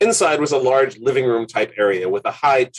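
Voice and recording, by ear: Someone is reading aloud in a natural voice. The reading carries on in that same natural voice.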